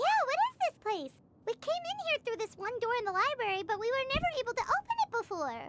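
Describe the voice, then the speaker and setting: Someone puts on a squeaky character voice at an extremely high pitch, talking at a fairly quick pace. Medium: video game. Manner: direct, inquisitive.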